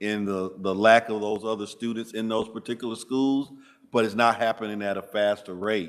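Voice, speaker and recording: In a very clean recording with a silent background, a man with an American accent speaks at a moderate pace in a fairly low voice. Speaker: school district administrator. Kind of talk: committee meeting presentation. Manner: halting.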